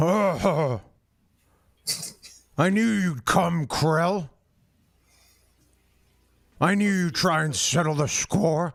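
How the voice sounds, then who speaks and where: A man puts on a gruff, high-pitched character voice and speaks at a very slow pace with long, frequent pauses, in a very clean recording against a silent background. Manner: knowing, confident.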